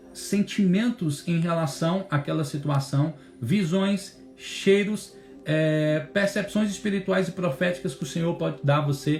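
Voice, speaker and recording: Over music in the background, a man talks at a fairly slow pace with a fairly high pitch and ordinary pitch variation. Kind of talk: bible teaching. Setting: instagram live stream.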